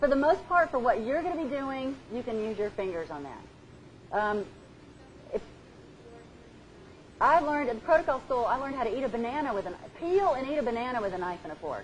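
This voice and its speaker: A woman with a high voice talks at a fairly quick pace, her pitch swinging very widely. She leaves long, frequent pauses, and the room echo is audible. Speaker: etiquette trainer. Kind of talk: lecture. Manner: fast.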